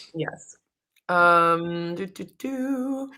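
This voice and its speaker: With a bright, sharp tone and ordinary pitch variation, a woman speaks on a very clean recording with a silent background. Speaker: online show co-host. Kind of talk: casual chat.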